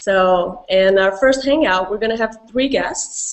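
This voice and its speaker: A woman with a Brazilian accent speaks at a fairly slow pace in a medium pitch. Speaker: community manager, hangout host. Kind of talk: casual online Q&A hosting. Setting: video call hangout.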